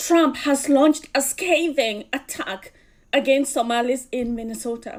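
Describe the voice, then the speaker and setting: A woman speaks with a Kenyan accent. Her pitch is high. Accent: Kikuyu. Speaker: political commentator. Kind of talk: video commentary.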